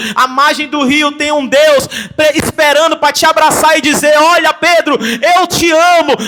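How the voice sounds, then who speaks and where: Amid noticeable background noise, the speaker projects a raised voice with an animated tone, a Brazilian accent, and very even loudness. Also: man, extremely high pitch for a man. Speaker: pastor. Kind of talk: sermon.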